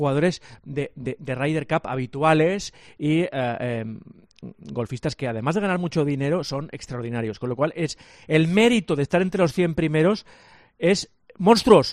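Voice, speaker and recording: A man with an unremarkable speaking voice talks at a fairly slow pace and a fairly high pitch. His intonation is lively. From Catalonia, Sant Cugat. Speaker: sports journalist. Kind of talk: sports radio chat. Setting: remote link.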